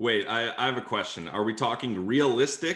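Here a man talks in a plain, everyday voice. His pace is moderate and his intonation lively. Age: 20s. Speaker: sports podcaster. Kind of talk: casual chat.

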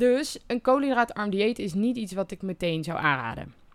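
On a very clean recording with a silent background, a woman at medium pitch makes very wide pitch swings. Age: 20s. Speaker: podcast host sharing concussion recovery experience. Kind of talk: solo podcast monologue. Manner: occasionally stumbling over words.

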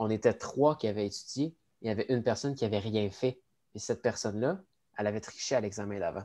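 Recorded very cleanly with a silent background, a man with a Quebec accent speaks very fast in a fairly low voice with a dark, mellow tone and ordinary pitch variation. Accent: Québécois French. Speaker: cégep student, podcast co-host. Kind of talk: casual chat.

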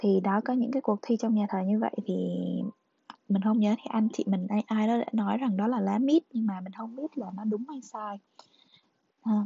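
Her pitch fairly high with ordinary variation, a woman moves at a fairly quick pace yet leaves long, frequent pauses. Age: young. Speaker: podcast host. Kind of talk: reading aloud; casual monologue.

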